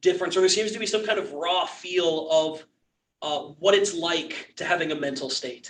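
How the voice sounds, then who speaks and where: This man's voice sits at a high pitch and moves at a moderate pace. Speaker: church class teacher. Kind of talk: lecture. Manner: halting.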